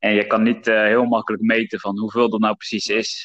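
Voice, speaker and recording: The intonation here is monotone and flat. It comes from a man. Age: 20s. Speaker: podcast host and former personal trainer. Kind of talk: casual chat.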